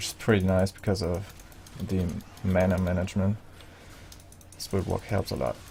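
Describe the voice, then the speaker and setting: The speaker has a non-native accent and a moderate pace. Long pauses come often. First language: not English. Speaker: video game guide creator. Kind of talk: gameplay tutorial. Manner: casual, hesitant with fillers.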